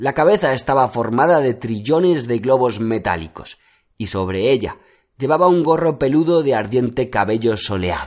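In front of a quiet background, a man with an unremarkable speaking voice talks at a medium pitch and a moderate pace. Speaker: audiobook narrator. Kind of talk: fairy-tale fable narration, read aloud as a storybook tale. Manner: measured, storyteller's pacing.

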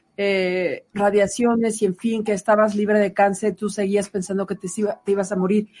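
Somewhat breathy and dark, mellow in tone, a woman speaks at a moderate pace with a fairly high pitch. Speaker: radio health show co-host. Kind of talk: interview.

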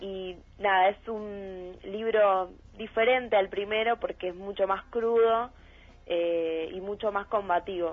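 Here a woman speaks at a very slow pace. Her intonation is fairly even. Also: medium pitch for a woman. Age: young. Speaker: writer and actress, theater student. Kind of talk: interview.

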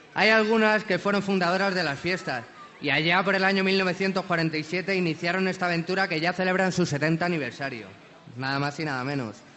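Noticeable background noise accompanies a man speaking at a high pitch. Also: ordinary pitch variation, moderate pace. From Alicante, Spain. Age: 20s. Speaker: actor. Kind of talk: festival proclamation speech. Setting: balcony before crowd.

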